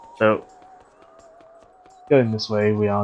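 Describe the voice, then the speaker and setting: Noticeable background noise sits beneath speech delivered at a fairly slow pace. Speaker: video game streamer. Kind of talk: live gameplay commentary. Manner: casual, with fillers and self-corrections.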